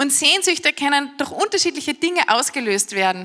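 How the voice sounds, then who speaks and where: Over noticeable background noise, the speaker uses a raised, projected voice with an animated tone. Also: woman. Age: 30s. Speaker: preacher. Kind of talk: sermon.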